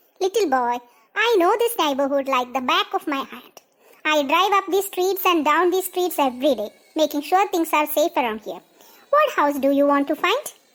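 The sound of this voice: A squeaky, cartoonish character voice speaks with lively intonation. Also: woman, extremely high pitch for a woman, moderate pace.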